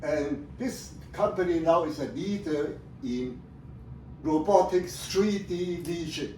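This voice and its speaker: A man speaks at a very slow pace in a high voice with ordinary pitch variation. The room echo is audible, and background noise is noticeable. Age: 70s. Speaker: retired professor presenting his research. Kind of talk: presentation to family audience. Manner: halting.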